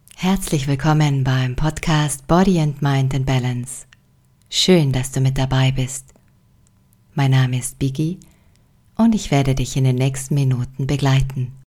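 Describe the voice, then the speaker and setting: Delivered at a fairly slow pace with long, frequent pauses, the somewhat breathy voice has a calm, soothing, dark and mellow tone and fairly even intonation. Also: woman, very deep, low pitch for a woman. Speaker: meditation guide. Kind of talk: guided meditation. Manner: slow, calm, soothing; gently instructive, with long pauses.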